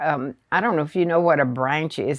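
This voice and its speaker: On a very clean recording with a silent background, a woman with a Southern US accent speaks at a very deep, low pitch with lively intonation. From rural Arkansas. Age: 90s. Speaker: retired teacher. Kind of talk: interview storytelling. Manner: hesitant, with fillers.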